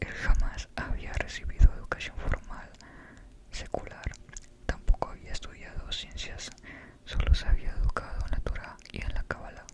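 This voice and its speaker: With noticeable noise in the background, the whispering proceeds at a moderate speed. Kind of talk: book reading. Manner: whispered.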